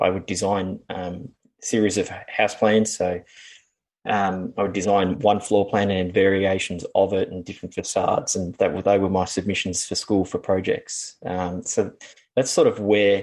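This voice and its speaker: A man with a fairly low pitch, monotone, flat intonation and an Australian accent. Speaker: building designer and draftsperson. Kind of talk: interview conversation. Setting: podcast interview. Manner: hesitant, many fillers.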